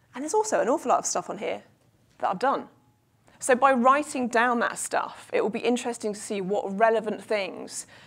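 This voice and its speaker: Pitch varies in an ordinary way as the speaker moves at a moderate pace. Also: woman. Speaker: keynote speaker, performance coach and stand-up comedian. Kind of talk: live keynote speech to an audience. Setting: live room with audience. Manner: humorous, self-deprecating, engaging. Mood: humorous, self-deprecating. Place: hall. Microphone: lapel.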